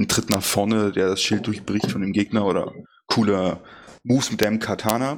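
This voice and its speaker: A man with a normal speaking voice talks at a moderate pace and fairly low pitch. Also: fairly even intonation. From eastern Germany. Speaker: gaming podcast co-host. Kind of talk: casual chat.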